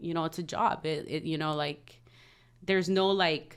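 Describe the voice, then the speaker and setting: A woman with a Southern California accent speaks with a bright, sharp tone and fairly even intonation on a very clean recording with a silent background. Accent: Southern California American English. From Los Angeles area, California (Compton). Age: 30s. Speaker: trucking company co-owner. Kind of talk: podcast interview.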